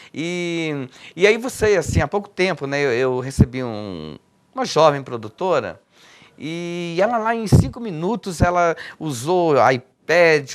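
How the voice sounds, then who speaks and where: A man with a plain, everyday voice uses lively intonation. The background is quiet. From Minas Gerais, Brazil. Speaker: poet and cultural activist. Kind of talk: interview answer.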